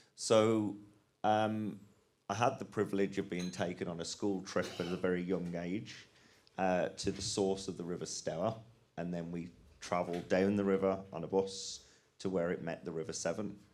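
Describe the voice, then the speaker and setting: A man talks at a moderate pace in a very deep, low pitch. His fairly even intonation carries audible room echo. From English West Midlands. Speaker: rivers charity manager. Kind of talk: conference panel talk.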